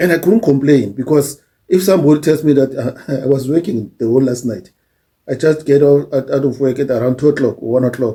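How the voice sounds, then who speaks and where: Somewhat breathy and dark, mellow in tone, a man speaks at fairly high pitch with ordinary pitch variation. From South Africa. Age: old. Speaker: YouTuber, social commentator. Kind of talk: casual monologue. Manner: halting.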